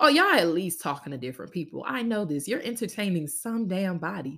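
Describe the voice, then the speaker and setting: A woman's medium-pitched, animated voice with very wide pitch swings at a fairly quick pace. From Louisiana. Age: 20s. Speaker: podcast host, university student. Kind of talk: casual solo monologue.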